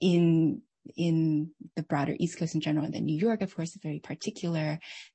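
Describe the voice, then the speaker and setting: A woman speaks very fast, her voice somewhat breathy. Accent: American. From United States. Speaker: author and former hospital chaplain. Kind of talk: online lecture with Q&A.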